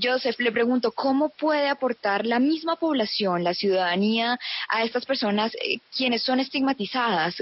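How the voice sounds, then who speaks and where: Talking at a moderate pace with hardly any pauses, a woman with a high voice keeps very even loudness and ordinary pitch variation. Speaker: student radio host. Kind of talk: radio interview.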